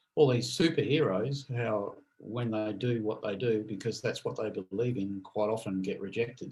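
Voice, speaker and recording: A somewhat breathy man at medium pitch, with ordinary pitch variation and a moderate pace. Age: 60s. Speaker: podcast co-host. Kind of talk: casual chat.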